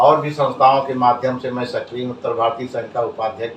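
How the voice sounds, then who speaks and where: Over noticeable background noise, a man speaks at a moderate pace. His pitch is medium and his intonation fairly even. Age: 70s. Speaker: social worker and former politician. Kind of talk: interview. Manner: formal.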